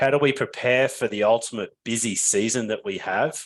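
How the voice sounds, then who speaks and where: A man with an Australian accent at medium pitch, moderate pace and ordinary pitch variation, over a quiet background. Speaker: business founder and webinar presenter. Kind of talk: webinar presentation.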